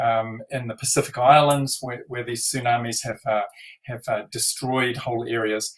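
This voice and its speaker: A man speaks with a somewhat breathy voice. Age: 60s. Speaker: NLP trainer. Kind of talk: interview. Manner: halting.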